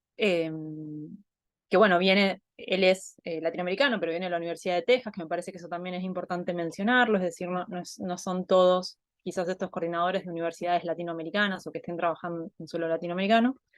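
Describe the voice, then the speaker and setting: In an Argentine accent, a woman talks at a very fast pace with fairly even intonation. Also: fairly low pitch for a woman, big swings in loudness. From Argentina. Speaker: anthropologist. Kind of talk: online talk presentation. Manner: hesitant, many fillers.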